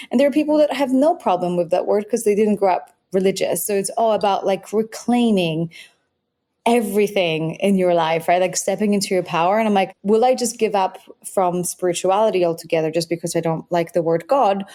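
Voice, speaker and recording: A woman with a Polish accent, a dark, mellow tone, very even loudness and a fairly quick pace. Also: medium pitch for a woman, ordinary pitch variation. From Poland. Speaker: biohacking author. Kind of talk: podcast interview. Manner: animated.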